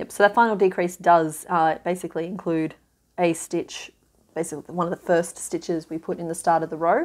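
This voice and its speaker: Her voice fairly low in pitch, a woman talks at a fairly quick pace with flat, monotone intonation. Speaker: crochet tutor. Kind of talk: tutorial. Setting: home video, filming craft. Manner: casual, friendly. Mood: relaxed, lightly humorous.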